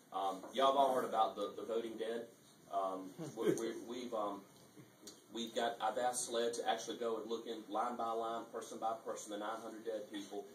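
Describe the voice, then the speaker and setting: A man with fairly even intonation at a moderate pace, with light background noise and audible room echo. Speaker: speaker. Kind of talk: speech to an audience. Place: hall.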